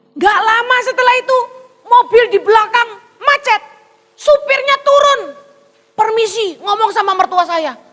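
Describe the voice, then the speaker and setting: In a Javanese accent, a woman talks at a moderate pace with an extremely high pitch. Her tone is animated. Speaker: pastor. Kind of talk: sermon.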